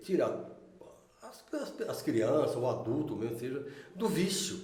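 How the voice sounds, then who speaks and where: A man talks at a fairly slow pace, and the audio has noticeable background noise plus audible room echo. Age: 60s. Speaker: local resident interviewee. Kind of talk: casual interview.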